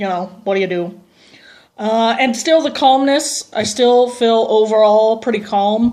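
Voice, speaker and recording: Speaking fairly slowly, a woman uses a fairly high pitch with ordinary pitch variation. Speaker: transgender vlogger. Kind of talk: video diary. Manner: casual, hesitant with many ums.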